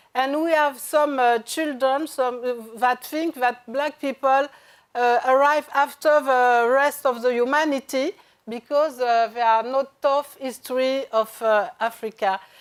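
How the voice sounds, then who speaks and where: On a very clean recording with a silent background, a woman with a French accent speaks at a fairly slow pace, her high pitch held in fairly even intonation and very even loudness. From France. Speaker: journalist and author. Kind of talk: panel discussion. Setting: stage with audience. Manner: halting, many hesitations.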